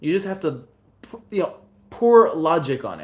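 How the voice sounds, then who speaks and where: A man with an American accent. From United States. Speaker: self-improvement coach. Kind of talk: live stream Q&A. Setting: livestream. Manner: casual, halting with many restarts.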